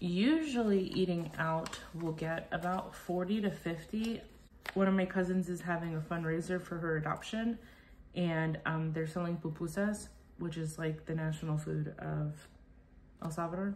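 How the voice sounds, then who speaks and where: A woman's fairly low-pitched voice at a moderate pace, with fairly even intonation. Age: 30s. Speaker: cash budgeter. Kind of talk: casual talk to camera. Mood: calm, friendly.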